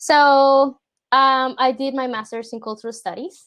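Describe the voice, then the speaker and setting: A woman is speaking. She has a Spanish accent. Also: quiet background. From Puerto Rico. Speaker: product designer. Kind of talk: portfolio review on a video call.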